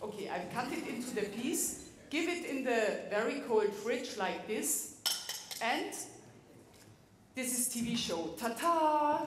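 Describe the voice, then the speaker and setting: A woman speaks at a very slow pace and a high pitch, with very wide pitch swings and long, frequent pauses. Audible room echo surrounds her. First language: German. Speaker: cook giving a demonstration. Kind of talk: cooking demonstration to an audience. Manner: halting, searching for English words.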